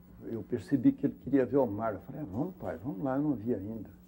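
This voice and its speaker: A man's voice sits at medium pitch and is somewhat breathy. Its tone is dark and mellow. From Minas Gerais, Brazil. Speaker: actor. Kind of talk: interview answer. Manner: storytelling, reflective.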